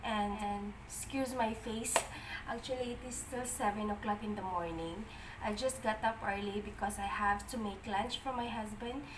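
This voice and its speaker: A soft-spoken woman at a fairly slow pace, with noticeable background noise and audible room echo. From Philippines. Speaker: cooking vlogger. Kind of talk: cooking tutorial.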